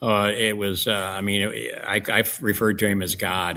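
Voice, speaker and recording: The speaker talks at a moderate pace in a St. Louis accent, with a flat, monotone intonation. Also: man. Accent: Midwestern US (St. Louis). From St. Louis area, Missouri. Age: 70s. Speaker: wrestling promoter and historian. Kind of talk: interview. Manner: halting, many fillers.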